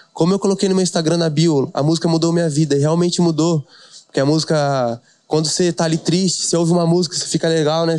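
This man talks at a very fast pace in a fairly high pitch, his intonation monotone and flat. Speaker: DJ and funk artist. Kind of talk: casual chat.

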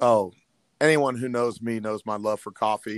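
A man speaks with a Midwestern US accent. His intonation is fairly even. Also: dry, close sound with no echo, very clean recording, silent background. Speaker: middle school history teacher and football coach. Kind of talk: casual interview.

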